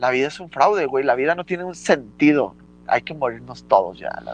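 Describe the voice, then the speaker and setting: A plain, everyday voice belongs to a man speaking at a moderate pace against a quiet background. His pitch is fairly high, with ordinary variation. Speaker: podcast co-host. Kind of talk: casual chat.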